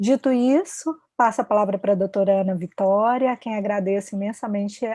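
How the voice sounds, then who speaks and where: A woman's medium-pitched voice with a strong Minas Gerais accent, dark and mellow in tone, at a moderate pace, in a dry, close sound with no echo. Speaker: panel moderator, researcher. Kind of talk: panel moderation. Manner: polite, formal.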